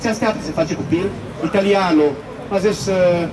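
A man's voice with ordinary pitch variation over noticeable background noise. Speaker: complainant, Italian citizen living in Romania. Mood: upset, indignant. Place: street.

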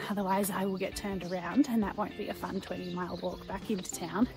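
A woman speaks with a dry sound and no echo. Clear music plays in the background. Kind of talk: casual vlog chat. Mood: cheerful, upbeat. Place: street. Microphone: phone near.

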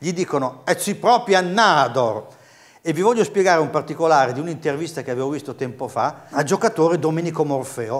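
With lively intonation, a man speaks at a fairly quick pace in a fairly high pitch. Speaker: dialect course host. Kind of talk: TV dialect lesson. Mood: friendly, lightly humorous. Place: studio. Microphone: lapel.

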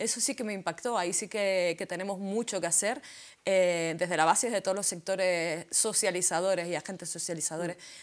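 Pitch rises and falls in an ordinary way as the speech moves at a moderate speed. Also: woman. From Canary Islands. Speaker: feminist activist and spokesperson; spokesperson. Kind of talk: panel discussion. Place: studio. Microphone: lapel.

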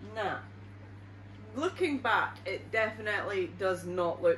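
Light background noise and audible room echo around a woman speaking. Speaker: YouTuber. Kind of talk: reaction video. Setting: at home with her baby. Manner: animated. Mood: amused, mildly disgusted. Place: home room.

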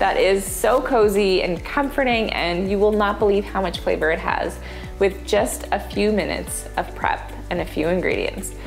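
Faint background music is audible. The speaker keeps a moderate pace. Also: woman. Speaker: cooking show host. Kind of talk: tutorial. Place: kitchen. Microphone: lapel.

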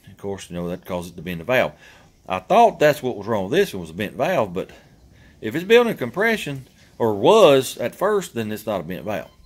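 Backed by music, a man talks at a fairly quick pace, his loudness swinging widely and his pitch swinging very widely. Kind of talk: casual vlog chat. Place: garage.

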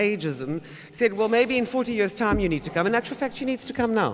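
The man's voice sits at a high pitch. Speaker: moderator. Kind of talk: panel discussion. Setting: stage with audience. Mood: earnest, personal. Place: hall. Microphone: podium.

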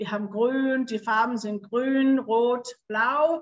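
Against a quiet background, a woman talks very slowly with ordinary pitch variation. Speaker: hotel marketing representative; presenter. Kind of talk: sales presentation. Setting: video call from holiday by the ocean. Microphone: webcam.

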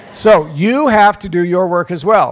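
The man's voice shows ordinary pitch variation. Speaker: priest giving a workshop. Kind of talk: workshop talk. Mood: warm, lightly humorous. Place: hall. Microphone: handheld.

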